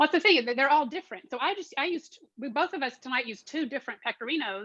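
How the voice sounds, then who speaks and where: Talking very fast in a Southern accent, a woman uses a high pitch, a bright, sharp tone and lively intonation. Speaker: art history and cooking teacher. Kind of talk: online class Q&A.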